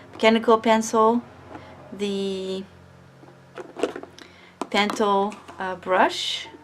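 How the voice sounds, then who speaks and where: Over noticeable background noise, a woman with a medium pitch talks at a very slow pace, leaving long, frequent pauses. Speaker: artist. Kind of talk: art supply review talk. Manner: casual, hesitant.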